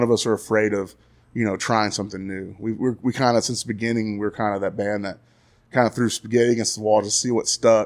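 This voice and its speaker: A man with a Texan accent talks at a very fast pace at a fairly low pitch in a monotone, flat intonation, on a very clean recording with a silent background. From Texas, Graham. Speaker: touring band musician. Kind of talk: casual interview chat.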